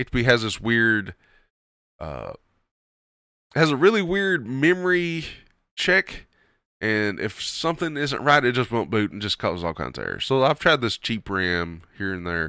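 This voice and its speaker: A man with a Kentucky accent and medium pitch uses an animated, bright, sharp tone with very wide pitch swings and long, frequent pauses, on a very clean recording with a silent background. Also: moderate pace. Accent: Southern US (Kentucky twang). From Kentucky, US South. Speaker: podcast host and streamer. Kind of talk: casual solo show, commentary. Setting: home recording, not live. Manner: casual, rambling, animated.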